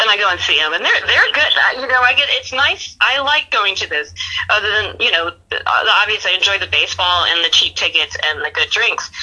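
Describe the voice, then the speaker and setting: A woman with a slight Southern US accent talks at a fairly quick pace over noticeable background noise. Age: 30s. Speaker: podcast guest and Yankees fan. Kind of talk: casual chat. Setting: phone or video call.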